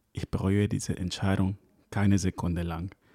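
A man's fairly low voice with vocal fry, a dark, mellow tone and a moderate pace, in dry, close sound with no echo. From Ecuador, then Hamburg from school age. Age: 30s. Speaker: wedding DJ and podcast host. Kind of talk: scripted solo podcast intro.

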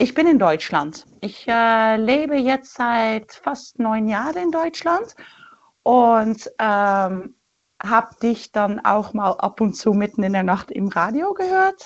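A woman with a Dutch accent and a fairly high pitch speaks at a very slow pace. Her pitch swings very widely. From Netherlands. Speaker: caller. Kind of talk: phone-in conversation. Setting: phone call.

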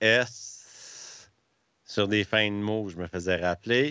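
A man talks with a Quebec accent. His pitch is fairly low and his intonation fairly even. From Quebec, Montreal area. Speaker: hockey streamer. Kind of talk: casual chat.

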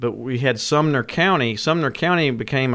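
In a Tennessee accent, a man talks at a moderate pace with a bright, sharp tone, a medium pitch and ordinary pitch variation. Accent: Southern US (Tennessee). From West Tennessee. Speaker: tourism director. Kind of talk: interview.

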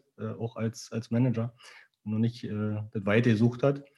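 The man's voice is dark and mellow at medium pitch, his pace moderate. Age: 40s. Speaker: e-commerce founder. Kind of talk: interview.

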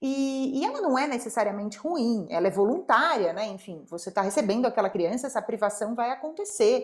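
Her intonation lively, a woman speaks at a fairly quick pace in a fairly high pitch. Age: 30s. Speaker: podcast host, mother. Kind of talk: casual chat. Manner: animated.

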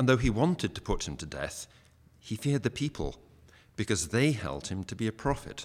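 Pitch swings very widely as a man speaks at a fairly quick pace. His voice sits at medium pitch and has vocal fry. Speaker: scripture reader. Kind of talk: reading aloud.

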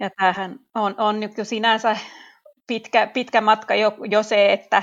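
Monotone and flat in intonation, a woman of medium pitch talks at a very slow pace. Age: 30s. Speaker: teacher and chair of an infertility support association. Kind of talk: interview. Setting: remote recording.

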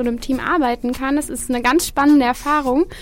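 Through noticeable background noise, a woman with a high pitch speaks at a fairly quick pace. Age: 20s. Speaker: student event organiser. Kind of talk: radio interview. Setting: radio studio.

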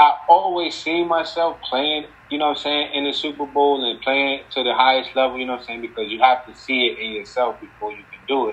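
Talking at a fairly quick pace with hardly any pauses, a man uses a fairly high pitch, ordinary pitch variation and an American accent. Noticeable background noise is present. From New Jersey, Paterson. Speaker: former NFL football player. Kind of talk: casual interview. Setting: video call. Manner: casual, filler-heavy.

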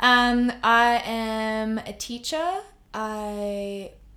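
Here a woman speaks with an Australian accent. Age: 20s. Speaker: primary school teacher. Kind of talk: casual interview.

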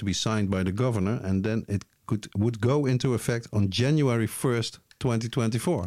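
In a very clean recording with a silent background, a man speaks with a Dutch accent. His tone is dark and mellow, his intonation fairly even. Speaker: podcast host. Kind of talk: casual chat. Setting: studio.

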